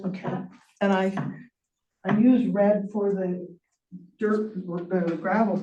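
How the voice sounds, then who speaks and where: A woman at medium pitch, somewhat breathy, with a dark, mellow tone, monotone, flat intonation, a fairly slow pace, long, frequent pauses and audible room echo. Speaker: public commenter, rancher. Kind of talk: public hearing comment. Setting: public meeting. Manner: soft-spoken.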